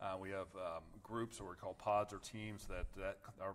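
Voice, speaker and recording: With a Midwestern American accent, a man speaks at a moderate pace and keeps his intonation fairly even. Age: 40s. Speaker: attorney. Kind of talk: podcast interview. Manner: halting, frequent restarts.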